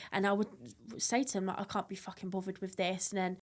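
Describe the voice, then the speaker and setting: A woman at medium pitch with an English accent talks at a fairly quick pace in a monotone, flat intonation on a very clean recording with a silent background. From England, Blackpool and Kent. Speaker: foster care survivor. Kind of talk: testimony.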